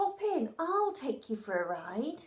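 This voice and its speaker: This is a put-on character voice at a fairly slow pace. Its pitch swings very widely. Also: woman. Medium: read story. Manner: energetic.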